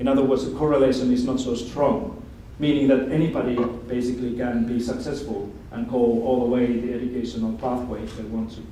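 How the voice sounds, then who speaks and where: Speech comes at a fairly quick pace with a Finnish accent and fairly even intonation. Audible room echo and noticeable background noise are present. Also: man, medium pitch for a man. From Finland. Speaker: education expert speaker. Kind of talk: lecture.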